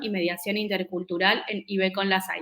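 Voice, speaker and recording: A woman speaks at medium pitch. Her tone is bright and sharp. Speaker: event moderator. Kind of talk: webinar presentation. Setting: online event.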